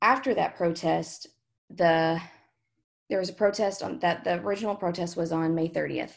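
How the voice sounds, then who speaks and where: Her voice fairly low in pitch and touched with vocal fry, a woman speaks at a moderate pace with ordinary pitch variation and long, frequent pauses. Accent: Southern US. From Kentucky. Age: 20s. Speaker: student activist. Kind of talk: oral history interview.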